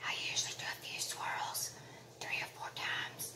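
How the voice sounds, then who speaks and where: This is a woman whispering. Her pace is moderate. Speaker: craft tutor. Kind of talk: crafting tutorial talk to camera. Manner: whispered. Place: home room. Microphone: phone near.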